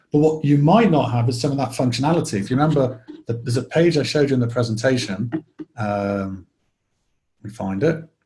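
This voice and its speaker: Somewhat breathy and dark, mellow in tone, a man speaks very fast with a Liverpool accent. His pitch is medium, with ordinary pitch variation. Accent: Liverpool accent, noticeable. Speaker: software product presenter. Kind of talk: webinar Q&A. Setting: online webinar. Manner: casual, many fillers.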